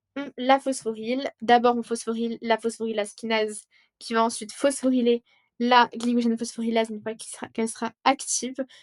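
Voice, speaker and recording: A woman at a fairly quick pace, fairly high in pitch, with big swings in loudness and a dry, close sound with no echo. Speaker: student tutor. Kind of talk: tutorial. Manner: animated.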